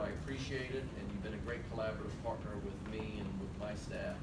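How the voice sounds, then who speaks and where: Loud background noise sits behind a man speaking at a very fast pace. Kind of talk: formal meeting remarks. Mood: appreciative, warm. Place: meeting room.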